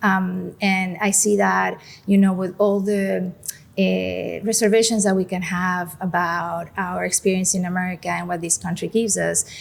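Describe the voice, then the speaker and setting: On a very clean recording with a silent background, a woman with a Mexican accent speaks at a moderate pace. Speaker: museum director. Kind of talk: podcast interview. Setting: on location at a museum.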